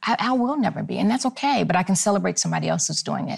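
A woman talking at a fairly quick pace, with noticeable background noise. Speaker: singer. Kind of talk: panel conversation.

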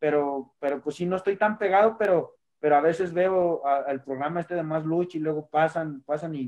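A normal speaking voice, this man talks at a fairly quick pace and fairly high pitch, with fairly even intonation and hardly any pauses. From Mexico, Tlaxcala. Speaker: professional wrestler. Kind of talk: interview.

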